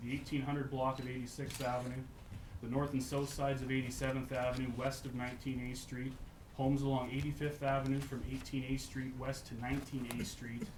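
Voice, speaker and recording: Amid audible room echo, a man with a medium pitch talks fairly quickly in a monotone, flat intonation. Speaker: local resident speaking at public hearing. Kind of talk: public hearing statement. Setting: council chamber public hearing. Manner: hesitant, many fillers.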